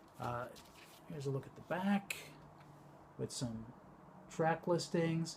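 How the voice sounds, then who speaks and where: This man's voice is fairly high and somewhat breathy. He talks at a moderate pace. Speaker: vinyl collector YouTuber. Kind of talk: casual show-and-tell vlog. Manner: mumbling; hesitant, many fillers.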